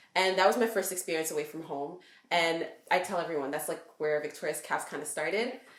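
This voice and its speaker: With audible room echo behind her, a woman talks at a fairly quick pace in a fairly low voice with ordinary pitch variation. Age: 20s. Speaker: entrepreneur. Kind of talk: casual interview.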